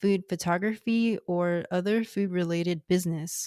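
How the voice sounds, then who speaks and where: A woman with an American accent speaks at a fairly slow pace in a fairly low pitch, her dark, mellow tone flat and monotone, in a very clean recording with a silent background and a dry, close sound with no echo. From US, Houston, Texas. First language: Cantonese. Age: 30s. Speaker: podcast host. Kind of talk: scripted narration. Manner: formal.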